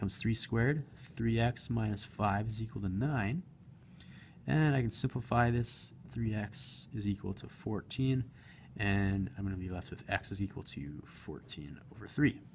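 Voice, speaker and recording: A man speaks with a medium pitch and lively intonation. His voice is somewhat breathy. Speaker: math teacher. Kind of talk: tutorial. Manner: fast.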